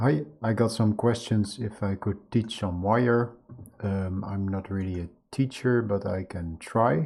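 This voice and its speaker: The speaker has a non-native accent and a somewhat breathy voice with ordinary pitch variation. The background is quiet. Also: man, fairly low pitch for a man, fairly slow pace. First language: not English. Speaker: video artist teaching a software tool. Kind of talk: screen-share tutorial. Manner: halting, many fillers.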